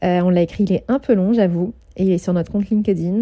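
With a dark, mellow tone, a woman of medium pitch talks at a fairly quick pace and with fairly even intonation. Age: 30s. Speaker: podcast host and event organizer. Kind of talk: monthly update monologue.

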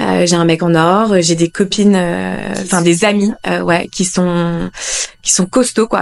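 Speaking fairly slowly, a woman uses a medium pitch and fairly even intonation. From northern France, Lille. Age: 30s. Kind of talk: casual interview chat. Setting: at her home. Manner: halting, many fillers.

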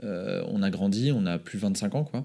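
A very clean recording of a man against a silent background. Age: 30s. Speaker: entrepreneur. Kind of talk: casual chat.

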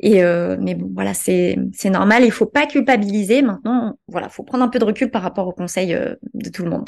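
This woman talks at a moderate pace. Her voice has vocal fry. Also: ordinary pitch variation. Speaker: digital marketing entrepreneur. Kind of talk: interview conversation.

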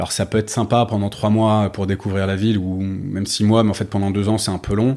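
A man with a fairly low pitch and a dark, mellow tone speaks at a fairly quick pace. His intonation is monotone and flat on a very clean recording with a silent background. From France, Paris. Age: 40s. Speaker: startup co-founder. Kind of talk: interview. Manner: halting, many fillers.

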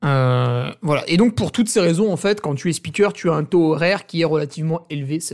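A man's fairly high, animated voice at a fairly quick pace, with hardly any pauses, ordinary pitch variation and big swings in loudness, in a very clean recording with a silent background. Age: 30s. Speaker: podcaster. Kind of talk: casual solo monologue.

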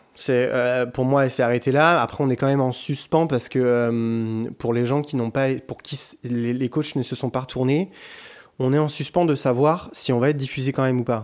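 A plain, everyday voice at a moderate pace with fairly even intonation, in a very clean recording over a silent background. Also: man, medium pitch for a man. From France, Bordeaux. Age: 20s. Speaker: singer. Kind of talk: casual chat. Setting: living room with echo.

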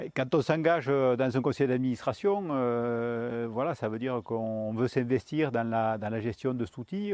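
Pitch variation is ordinary in this man's speech. His pitch is medium, and his pace is moderate. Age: 50s. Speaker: dairy farmer. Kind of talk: interview. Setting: on his farm. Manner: hesitant with fillers.

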